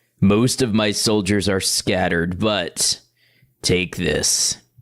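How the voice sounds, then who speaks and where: A man does a raspy, put-on character voice with fairly low pitch. His intonation stays fairly even at a fairly slow pace. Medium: game stream. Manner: grim, world-weary.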